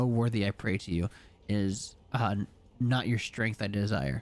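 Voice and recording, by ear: This man puts on a character voice, pitched fairly low. He talks at a moderate pace.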